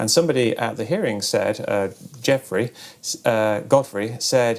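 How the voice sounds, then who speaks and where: Here a man talks at a moderate pace. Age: 40s. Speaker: debunker, retired video game developer. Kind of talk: documentary interview. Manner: halting, many fillers.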